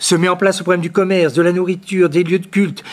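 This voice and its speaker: The speaker is male. He talks in a high register. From France, Poitiers. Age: 70s. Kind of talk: lecture. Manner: halting, with frequent repetitions and fillers.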